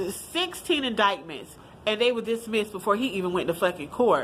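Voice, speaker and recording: A woman talks at a very fast pace in an animated tone, with lively intonation and a fairly high pitch. Noticeable background noise runs underneath. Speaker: vlogger. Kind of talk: casual commentary monologue. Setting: at work.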